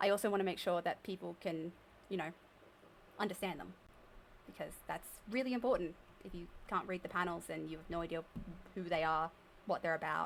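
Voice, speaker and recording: A woman's fairly low, fry-tinged voice at a fairly quick pace, with ordinary pitch variation and long, frequent pauses. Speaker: streamer. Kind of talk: live stream chat.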